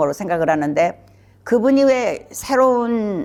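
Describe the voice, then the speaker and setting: A woman's lively intonation against noticeable background noise. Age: 70s. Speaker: psychiatrist. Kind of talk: educational talk. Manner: casual, with fillers.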